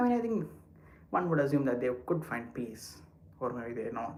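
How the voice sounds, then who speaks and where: Speech comes at a fairly quick pace. Noticeable background noise and audible room echo fill the recording. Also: man. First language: not English. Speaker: live streamer. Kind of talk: casual chat. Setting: walking while livestreaming.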